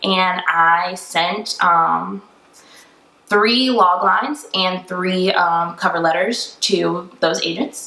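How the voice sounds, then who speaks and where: Over noticeable background noise, a woman speaks at a medium pitch with an American accent and ordinary pitch variation. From Tampa, Florida. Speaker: screenwriter, actress, director and producer. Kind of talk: interview answer.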